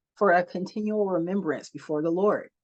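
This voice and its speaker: An unremarkable speaking voice from a woman with an American accent, medium pitch, moderate pace and fairly even intonation. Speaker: scripture reader. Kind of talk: reading aloud.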